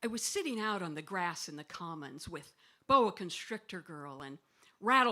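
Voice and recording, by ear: The speaker reads aloud in a natural voice with lively intonation.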